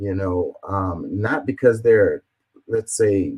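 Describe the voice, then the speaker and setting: The sound is dry and close, with no echo. A man talks at a moderate pace. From Houston, Texas. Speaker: political commentary streamer. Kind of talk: reading and reacting to comments. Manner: halting, stumbling over words.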